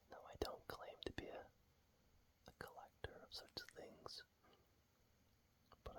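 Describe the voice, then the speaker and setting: Someone whispers in a relaxed tone. The pace is fairly slow. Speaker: ASMR content creator. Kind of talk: ASMR whispered talk to camera about a comic. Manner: whispered, relaxed.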